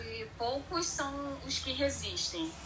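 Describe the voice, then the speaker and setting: A woman with a Rio de Janeiro accent, audible room echo and noticeable background noise. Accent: carioca. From Rio de Janeiro, Brazil. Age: 30s. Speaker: airline worker. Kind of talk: casual chat.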